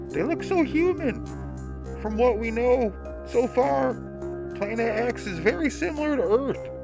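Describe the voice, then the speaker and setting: Loud music plays in the background as a man performs a put-on character voice at a moderate pace. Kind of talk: audio comic reading. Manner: excited.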